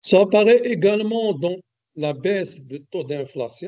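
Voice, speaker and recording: Lively intonation marks this man's speech, which moves at a fairly slow pace. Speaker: economics expert speaker. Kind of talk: webinar lecture. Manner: hesitant, many fillers; loud, projecting voice.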